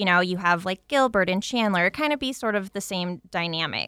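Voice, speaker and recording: The tone is bright and sharp at a moderate pace. The recording is very clean with a silent background, and the sound is dry and close with no echo. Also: woman. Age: 30s. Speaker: radio show host, chamber of commerce communications manager. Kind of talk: casual interview.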